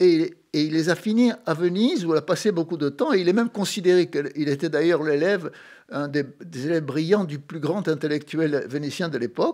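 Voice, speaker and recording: A man's high-pitched voice at a moderate pace, in a very clean recording with a silent background. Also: ordinary pitch variation. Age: 80s+. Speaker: author and songwriter. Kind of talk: radio interview. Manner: halting.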